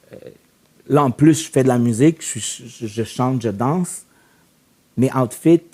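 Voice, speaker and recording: A man speaks in a dark, mellow voice at a fairly slow pace. Long pauses come often. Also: medium pitch for a man, ordinary pitch variation, big swings in loudness. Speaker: musician and performer. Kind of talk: casual podcast chat. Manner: code-switches French and English.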